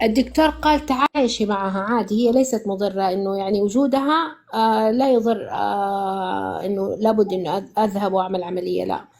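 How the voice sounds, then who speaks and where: A woman talks at a moderate pace with hardly any pauses. Her pitch is medium, with ordinary variation. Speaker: caller giving a testimonial. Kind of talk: testimony. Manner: halting, many false starts and fillers; switches to formal Arabic.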